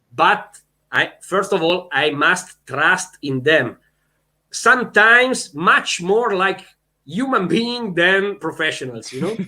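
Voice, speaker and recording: In an Italian accent, a man with a high pitch raises and projects his voice, speaking at a very slow pace in a bright, sharp tone. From Italy. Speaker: volleyball head coach. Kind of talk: interview. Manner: halting.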